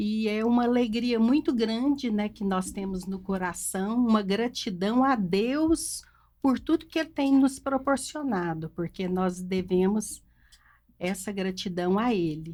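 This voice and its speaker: This woman's voice is somewhat breathy and fairly high, with a dark, mellow tone and lively intonation. The recording is very clean, with a silent background. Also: fairly slow pace. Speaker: family business co-founder. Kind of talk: family podcast conversation.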